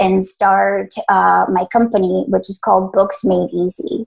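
The pace is fairly slow. The speaker is a woman in a Spanish accent. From Colombia, moved to US at 11. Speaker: business founder and leadership trainer. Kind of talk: interview.

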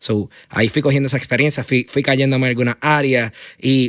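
A man speaks with a Puerto Rican accent at a moderate pace and medium pitch. The sound is dry and close, with no echo. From Puerto Rico, Aguadilla. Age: 20s. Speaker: entrepreneur, founder of a media studio. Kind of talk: interview. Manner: halting, many fillers and repeated words.

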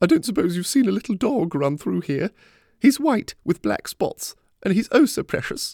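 A man does a put-on character voice, high-pitched and slightly mellow, with big pitch swings and vocal fry at a moderate pace. The recording is very clean with a silent background and a dry, close sound with no echo.

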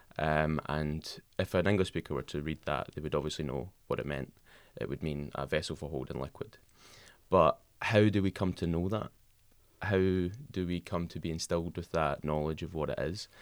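A man with a very deep, low pitch and vocal fry, ordinary pitch variation and moderate pace, on a very clean recording with a silent background. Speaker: linguistics student. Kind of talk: casual chat. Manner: many filler ums.

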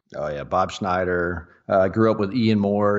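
A man with a Texan accent and fairly even intonation. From Texas, Dallas-Fort Worth area. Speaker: off-road racer. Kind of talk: casual chat.

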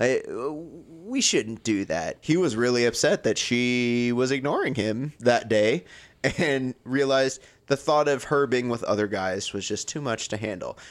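A man at a medium pitch, with an ordinary speaking voice and ordinary pitch variation, on a very clean recording with a silent background. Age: 30s. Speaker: podcast host. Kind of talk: casual chat.

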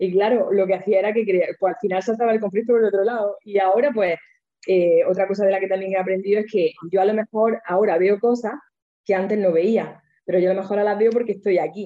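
A woman talks at a very fast pace in a medium pitch. Her loudness is very even and her intonation fairly even. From Almería, Andalusia, Spain. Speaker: interviewee sharing personal growth story. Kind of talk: testimony. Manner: expressive.

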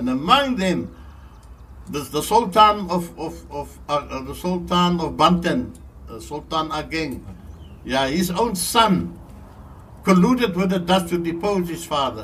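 With audible room echo, a man speaks at a fairly slow pace, with long, frequent pauses and big swings in loudness. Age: 80s+. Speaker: local historian. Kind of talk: storytelling interview. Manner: repetitive, halting.

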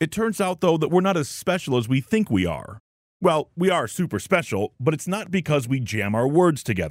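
A man speaks in an American accent, with vocal fry and very wide pitch swings. The recording is very clean, with a silent background. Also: dry, close sound with no echo. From US Midwest. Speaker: radio host. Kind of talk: scripted narration.

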